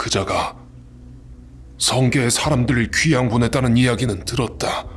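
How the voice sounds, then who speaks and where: Using a put-on character voice, a man speaks at a moderate pace with medium pitch and fairly even intonation, with clear background noise behind him. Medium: audio drama. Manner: grave, paternal.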